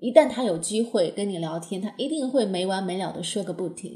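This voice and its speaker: This woman speaks with a Chinese accent at a medium pitch. Her intonation is lively. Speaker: English teacher podcaster. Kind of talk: tutorial.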